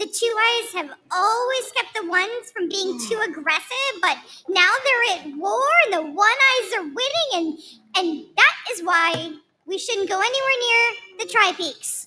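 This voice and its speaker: Put-on character voice from a woman, pitched extremely high and delivered at a moderate pace. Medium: stage play. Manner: timid, naive.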